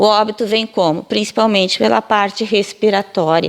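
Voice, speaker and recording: An ordinary speaking voice from a woman at medium pitch, with ordinary pitch variation and a moderate pace. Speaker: physiotherapy professor. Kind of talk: interview answer, explanatory.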